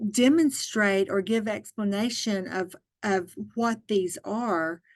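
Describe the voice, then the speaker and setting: Her pitch fairly high, a woman speaks in an Arkansas accent. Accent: Southern US (Arkansas). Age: 60s. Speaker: early childhood education trainer. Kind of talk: training webinar. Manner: casual.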